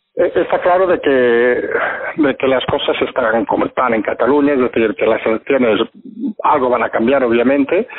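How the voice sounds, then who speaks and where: A man speaks at a moderate pace. Noticeable background noise comes through. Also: very even loudness. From Catalonia, Spain (Barcelona). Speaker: political commentator. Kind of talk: casual political discussion. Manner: halting, with repetitions.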